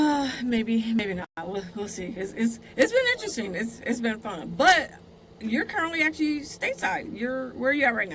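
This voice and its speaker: Speaking at a moderate pace with an American accent, a woman uses a fairly high pitch and lively intonation. Her loudness swings a lot, and there is noticeable background noise. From US West, Southern California, Compton. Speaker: podcast host. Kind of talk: casual interview.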